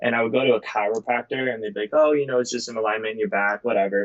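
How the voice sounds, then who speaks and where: A man with a Midwestern American accent speaks with fairly even intonation. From US Midwest, Cleveland, Ohio. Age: 20s. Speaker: motivational speaker and cancer survivor. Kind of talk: casual interview.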